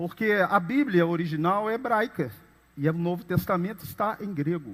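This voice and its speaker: Lively intonation from a high-pitched man at a fairly slow pace, very clean recording with a silent background. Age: 50s. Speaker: pastor. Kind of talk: sermon.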